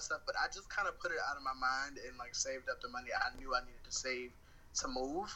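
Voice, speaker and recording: Fairly quick speech from a man with an American accent, noticeable background noise underneath. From Baltimore, Maryland, US East Coast. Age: 20s. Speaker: freelancer, cook. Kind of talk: casual chat. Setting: phone call.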